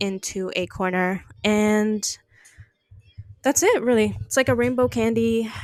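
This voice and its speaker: At a fairly slow pace, a woman speaks with a fairly high pitch and fairly even intonation. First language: not English. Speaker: art podcast host. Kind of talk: casual monologue. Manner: halting, many fillers.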